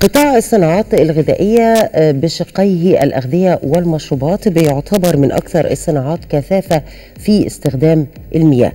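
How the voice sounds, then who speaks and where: A woman has an unremarkable speaking voice with a fairly low pitch. She keeps a moderate pace and lively intonation. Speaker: TV program host. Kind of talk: program introduction. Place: studio.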